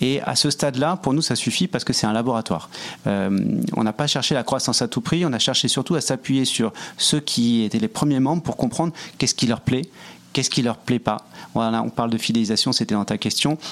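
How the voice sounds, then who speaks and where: Speaking at a fairly quick pace, a man keeps his loudness very even, with medium pitch and ordinary pitch variation. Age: 40s. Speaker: entrepreneur, nonprofit social network co-founder. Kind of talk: interview. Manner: halting, many repetitions.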